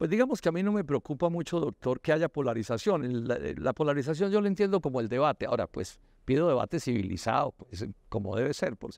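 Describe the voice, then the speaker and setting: With vocal fry and very wide pitch swings, the voice moves at a fairly quick pace in a dry sound with no echo and a quiet background. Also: man, fairly high pitch for a man. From Colombia. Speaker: politician; candidate. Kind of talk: interview. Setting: university cloister. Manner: halting with repetitions.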